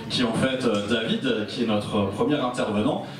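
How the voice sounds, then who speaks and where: A man speaks with ordinary pitch variation. There is noticeable background noise and audible room echo. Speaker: event host. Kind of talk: event hosting. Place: hall.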